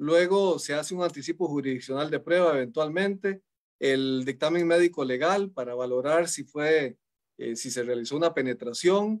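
Against a quiet background, a man with a fairly high voice speaks at a moderate pace and ordinary pitch variation. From Costa Rica. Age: 40s. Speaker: judge. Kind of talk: panel discussion. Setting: video call. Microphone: video call.

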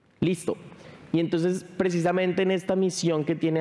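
A man talks in a high voice. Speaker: tech company speaker; speaker. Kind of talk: conference presentation. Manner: fast. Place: stage.

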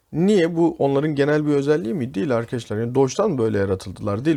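Against a quiet background, a man with a fairly high pitch and a dark, mellow tone talks at a very fast pace with hardly any pauses and very wide pitch swings. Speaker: English teacher. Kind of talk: tutorial.

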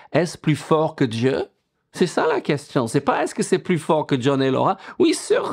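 The speaker is a man with a fairly high pitch. The background is quiet. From England. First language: English (speaking French). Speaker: pastor. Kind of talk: sermon. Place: home room.

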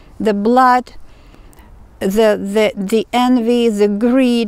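A woman speaks at a very slow pace with a fairly high pitch and monotone, flat intonation, in a dry sound with no echo. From Ukraine. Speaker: tarot reader. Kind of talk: tarot reading monologue. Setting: outdoors in woods. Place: forest. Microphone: phone near.

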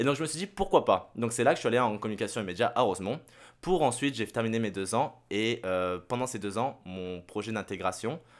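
Man with an unremarkable speaking voice, medium pitch, lively intonation and a fairly quick pace on a very clean recording with a silent background. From Saint-Barthélemy (French Caribbean). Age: 20s. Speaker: radio host and content creator. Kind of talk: casual chat.

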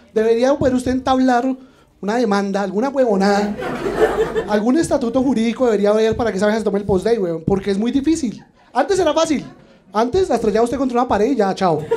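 Through noticeable background noise, a man talks at a very fast pace in an animated tone, his pitch extremely high with ordinary variation. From Colombia. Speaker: stand-up comedian. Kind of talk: stand-up comedy. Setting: stage with audience. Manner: animated, punchy, irreverent delivery with crude slang and mock-outraged emphasis. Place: bar. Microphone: handheld.

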